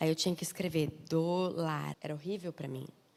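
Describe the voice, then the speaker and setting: A woman with a southern Brazilian accent at a moderate pace. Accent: southern Brazilian accent, noticeable. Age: 30s. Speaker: missionary and preacher. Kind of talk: sermon. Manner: informal, chatty.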